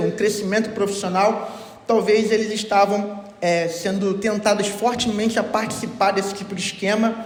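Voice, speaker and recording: With noticeable background noise and audible room echo, a man with a high voice speaks at a moderate pace in a flat, monotone way. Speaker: pastor. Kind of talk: sermon.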